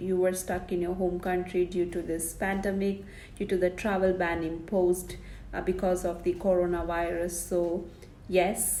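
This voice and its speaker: In a Keralan accent, a woman speaks at medium pitch. Audible room echo surrounds her voice. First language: Malayalam. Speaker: vlogger. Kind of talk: informational vlog.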